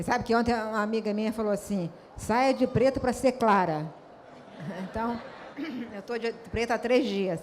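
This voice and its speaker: Moderate pacing broken by long, frequent pauses, with ordinary pitch variation. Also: woman, fairly high pitch for a woman. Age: 60s. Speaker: author. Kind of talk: panel discussion. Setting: stage with audience.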